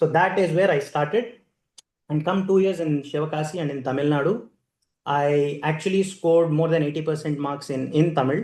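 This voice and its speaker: A man's fairly high voice in an Indian accent, at a fairly quick pace with ordinary pitch variation. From India, Andhra Pradesh (Adoni, Kurnool district). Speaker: keynote speaker, corporate manager. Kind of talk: keynote speech, personal storytelling.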